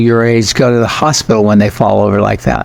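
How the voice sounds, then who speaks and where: With an American accent, a man of medium pitch speaks at a fairly quick pace amid noticeable background noise. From United States. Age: 80s+. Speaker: spiritual teacher. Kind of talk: podcast interview.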